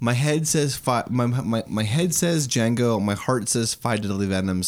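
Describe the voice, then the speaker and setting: A man talks at a moderate pace in a normal speaking voice. His medium pitch rises and falls with lively intonation. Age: 30s. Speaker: podcast host. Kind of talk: casual chat.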